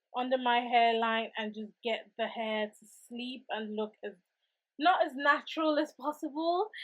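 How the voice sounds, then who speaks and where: A woman with a fairly high pitch talks at a moderate pace in an ordinary speaking voice. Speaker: wig and hair tutorial creator. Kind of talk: casual tutorial talk.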